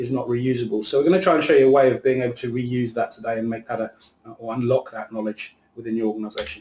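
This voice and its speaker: Somewhat breathy, this voice races at a very fast pace with fairly even intonation. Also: man. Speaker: software presenter. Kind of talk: webinar presentation.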